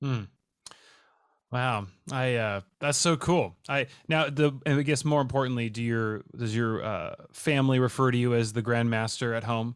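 This voice is an ordinary speaking voice, moving at a moderate pace. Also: man, medium pitch for a man. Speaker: podcast host. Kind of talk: casual chat. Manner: upbeat, laughs often.

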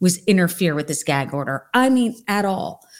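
In an ordinary speaking voice, a woman with a fairly low pitch speaks at a moderate pace on a very clean recording with a silent background. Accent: American. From New Jersey. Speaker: true crime author.

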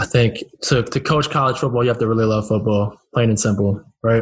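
A man's somewhat breathy, flat monotone with an American accent, at a fairly quick pace. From Northern Virginia, US. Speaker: podcast host. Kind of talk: casual interview.

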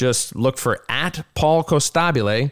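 An ordinary speaking voice with ordinary pitch variation comes through a very clean recording with a silent background, dry and close with no echo. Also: man. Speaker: podcast co-host. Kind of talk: casual comedy podcast interview.

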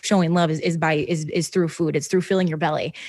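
The speaker has an American accent and an animated tone. The background is quiet. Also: woman. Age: 20s. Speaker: podcast host. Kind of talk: casual chat.

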